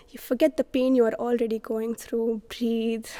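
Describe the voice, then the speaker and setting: This woman's voice is dry and close, without any echo. Noticeable background noise runs underneath. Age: 20s. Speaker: poet. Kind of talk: spoken word poetry.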